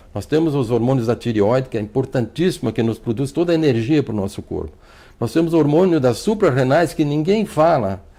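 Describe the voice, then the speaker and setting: With a dark, mellow tone, a man speaks at a fairly quick pace with lively intonation. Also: medium pitch for a man. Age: 60s. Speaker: physician. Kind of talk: TV health interview. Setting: TV studio. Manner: fluent, repetitive restarts.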